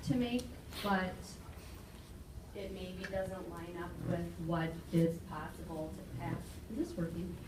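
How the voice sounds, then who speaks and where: A woman with an American accent, with audible room echo and noticeable background noise. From Minnesota (Shakopee). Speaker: community committee member, real estate agent. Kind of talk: public meeting remarks.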